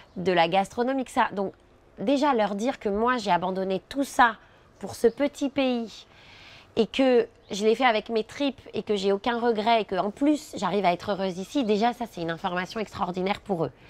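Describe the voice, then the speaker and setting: Against a quiet background, a woman speaks at a moderate pace and medium pitch with ordinary pitch variation. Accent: Parisian. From France, Paris area (Charenton). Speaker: immigrant interviewee, former sales director. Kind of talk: interview testimony.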